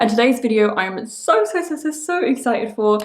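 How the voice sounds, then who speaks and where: A woman with a British accent talks at a very fast pace in a fairly high voice, with noticeable background noise behind her. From UK. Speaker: pro wrestler and beauty youtuber. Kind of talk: product unboxing review. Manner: animated.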